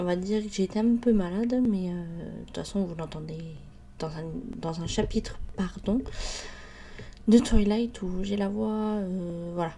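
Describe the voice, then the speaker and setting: A woman's somewhat breathy voice at medium pitch, fairly slow, with long, frequent pauses, ordinary pitch variation and big swings in loudness. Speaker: YouTuber. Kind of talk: biography narration, casual. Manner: hesitant, many fillers.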